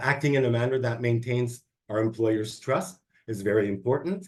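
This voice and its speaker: A somewhat breathy man at medium pitch, fairly quick pace and ordinary pitch variation, against a quiet background. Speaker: public service presenter on workplace ethics. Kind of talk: online training presentation.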